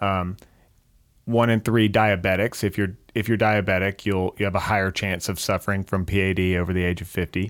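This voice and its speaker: In a dry, close sound with no echo and a very clean recording over a silent background, a man with a plain, everyday voice speaks at a fairly low pitch with fairly even intonation and a moderate pace. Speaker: podcast host. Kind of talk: interview. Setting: studio.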